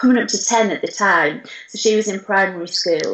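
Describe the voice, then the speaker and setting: A northern English accent at a moderate pace, with ordinary pitch variation. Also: woman. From northern England, Durham. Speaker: retail business manager. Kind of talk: interview. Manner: hesitant, many fillers.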